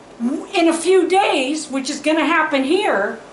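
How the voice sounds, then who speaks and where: There is audible room echo and noticeable background noise. A woman with a high pitch speaks at a fairly slow pace with lively intonation. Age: 60s. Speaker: farmer and DIY video host. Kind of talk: casual tutorial. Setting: outdoors. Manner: animated.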